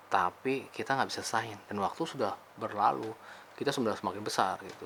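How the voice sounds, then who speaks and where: A man at a medium pitch, very fast in pace, with ordinary pitch variation. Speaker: motivational vlogger. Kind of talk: casual spiritual talk. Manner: casual, hesitant with fillers.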